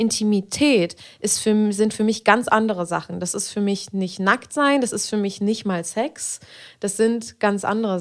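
A woman talks at a moderate pace with ordinary pitch variation. She has an ordinary speaking voice. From Berlin. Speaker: podcast host and adult film performer. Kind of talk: casual chat.

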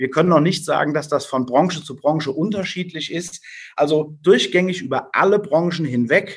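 This man has a normal speaking voice, pitched fairly high, and talks at a moderate pace. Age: 40s. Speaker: business owner. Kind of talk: interview.

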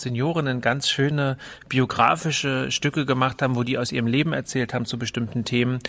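This is a man speaking. He has a slight northern German accent. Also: very clean recording, silent background. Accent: slight northern German tinge. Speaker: cultural centre director. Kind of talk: casual chat.

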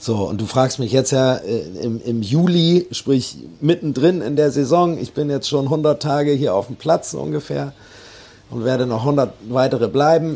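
At a fairly slow pace, a man speaks at medium pitch with a dark, mellow tone. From Bremen (Osterholz). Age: 40s. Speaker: musician and bar operator. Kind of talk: interview.

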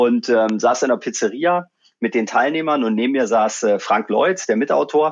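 A man talks at a fairly slow pace. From eastern Germany, Magdeburg. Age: 40s. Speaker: leadership trainer. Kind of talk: interview conversation. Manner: hesitant, many fillers.

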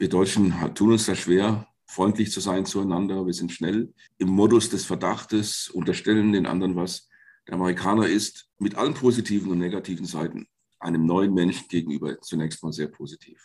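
Over a quiet background, a man talks at a moderate pace. His pitch is very deep and low, and his intonation is fairly even. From Germany, Fulda (Hesse). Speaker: Jesuit priest and philosophy professor. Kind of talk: interview.

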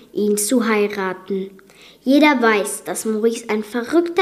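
The voice heard here is a natural reading voice.

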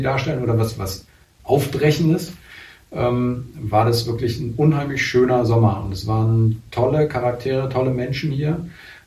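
Audible room echo surrounds a man speaking at a moderate pace, his medium pitch varying in an ordinary way. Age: 40s. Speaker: carpet manufacturer. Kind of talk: interview. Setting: on location at a rural workshop.

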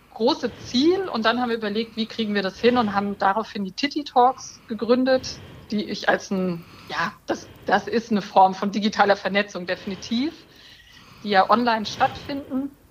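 Noticeable background noise sits behind a woman's voice. Her pitch is fairly high, with ordinary variation. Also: moderate pace. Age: 40s. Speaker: breast cancer survivor, online community co-founder. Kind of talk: podcast interview.

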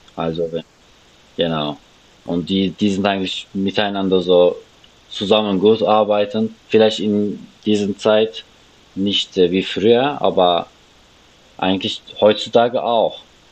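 Speaking at a very slow pace with a Turkish accent, a man uses a fairly low pitch, fairly even intonation, and long, frequent pauses. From Turkey, Istanbul. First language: Turkish (speaking German). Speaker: refugee guest. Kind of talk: interview. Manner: halting.

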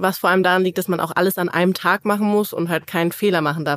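A woman speaks in a plain, everyday voice at a fairly low pitch. The recording is very clean with a silent background, and the sound is dry and close with no echo. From Cologne area, Germany. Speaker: powerlifter. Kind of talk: casual chat.

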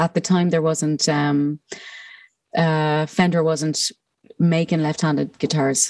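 Recorded with a dry, close sound and no echo, a woman speaks at a fairly low pitch in an Irish accent. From Ireland. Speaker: musician. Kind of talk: casual interview chat. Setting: remote call from home.

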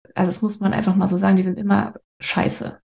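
The voice is somewhat breathy, with a dark, mellow tone. Its intonation is monotone and flat. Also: woman. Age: 30s. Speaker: actress with breast cancer. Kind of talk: interview. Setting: video call.

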